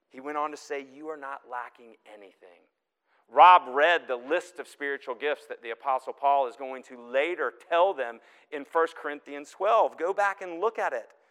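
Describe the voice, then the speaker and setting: A plain, everyday voice, a man's at a fairly high pitch, with ordinary pitch variation, big swings in loudness and a moderate pace, in a dry, close sound with no echo. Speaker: guest preacher. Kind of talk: sermon. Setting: church.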